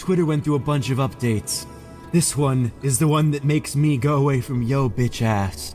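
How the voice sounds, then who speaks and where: A man's put-on character voice at a medium pitch and moderate pace over clear music in the background. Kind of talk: comic fandub acting. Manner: flippant, sarcastic.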